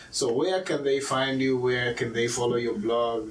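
A man at a medium pitch and moderate pace, with noticeable background noise. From Kenya. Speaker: podcast host. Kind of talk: casual interview.

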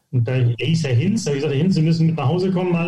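A man talking at a very fast pace with ordinary pitch variation, amid noticeable background noise and audible room echo. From northern Germany, near Hamburg (Harburg). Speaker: golf coach. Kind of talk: podcast interview. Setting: remote audio recording, no video.

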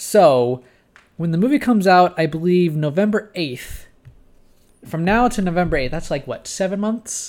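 This man's voice is high-pitched, with lively intonation. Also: moderate pace. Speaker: podcast co-host. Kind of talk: casual chat. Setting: studio.

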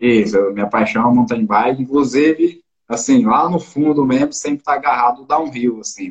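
Here is a man with an unremarkable speaking voice at a medium pitch. He keeps a moderate pace with ordinary pitch variation. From Brazil, interior of Goiás. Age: 20s. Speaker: mountain bike athlete. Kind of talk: casual interview.

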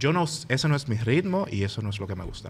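A man with a Dominican accent, medium pitch and a fairly quick pace. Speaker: podcast co-host, university student. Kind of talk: casual chat. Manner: animated.

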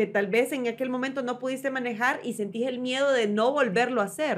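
A woman speaks in an ordinary speaking voice at a moderate pace. The recording is very clean, with a silent background. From Honduras (Danlí). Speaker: TV host. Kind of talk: casual chat. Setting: studio.

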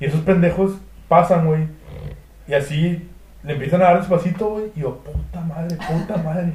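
A man with a dark, mellow tone and a high pitch talks at a moderate pace with fairly even intonation and long, frequent pauses. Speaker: podcast guest. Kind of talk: casual chat.

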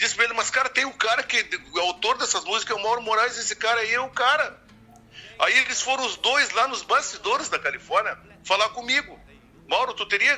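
A man in a southern Brazilian accent, extremely high-pitched, at a fairly quick pace. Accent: gaúcho Brazilian Portuguese. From Uruguaiana, Rio Grande do Sul, Brazil. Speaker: singer-songwriter. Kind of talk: casual interview.

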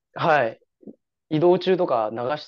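A man at a fairly slow pace, his voice swinging very widely in pitch. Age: 20s. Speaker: amateur obstacle racer. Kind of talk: casual interview. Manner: halting.

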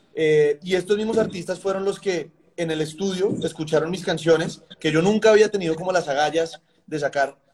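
This man's voice sits high in pitch. His intonation stays fairly even at a moderate pace. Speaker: songwriter and music producer. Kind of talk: interview conversation.

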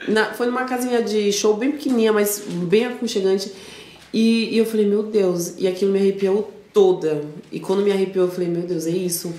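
A woman's medium-pitched voice, with ordinary pitch variation, moves at a moderate pace through audible room echo and noticeable background noise. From São Paulo, Brazil (north zone). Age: 20s. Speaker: DJ. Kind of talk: casual chat.

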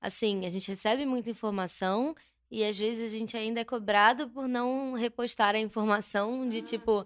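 On a very clean recording with a silent background, a woman in an unremarkable speaking voice talks at a moderate pace with a fairly high pitch and fairly even intonation. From Rio de Janeiro, Brazil. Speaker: social media influencer. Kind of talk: casual chat.

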